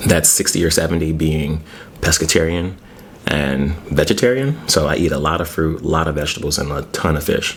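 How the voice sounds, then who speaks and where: Pitched very deep and low, a man talks at a fairly quick pace with ordinary pitch variation. Noticeable background noise can be heard. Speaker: ASMR mukbang creator. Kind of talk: casual talk to camera while eating. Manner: casual, chatty, conversational.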